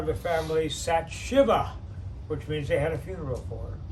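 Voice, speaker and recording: A man talks at a moderate pace. Audible room echo and noticeable background noise come through. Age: 80s+. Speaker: singer. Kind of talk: casual chat.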